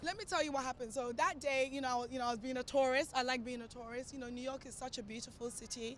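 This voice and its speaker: A high-pitched woman's voice at a very fast pace with hardly any pauses, fairly even intonation, and noticeable background noise. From Ghana, then London from age nine. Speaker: actress and TV presenter. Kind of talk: casual interview. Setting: outdoors in Times Square. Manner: hesitant, many fillers.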